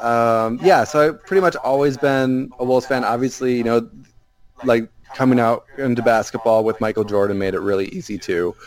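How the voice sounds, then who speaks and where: With a plain, everyday voice, a man of medium pitch talks at a fairly quick pace with ordinary pitch variation. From Minnesota. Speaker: basketball writer. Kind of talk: casual chat.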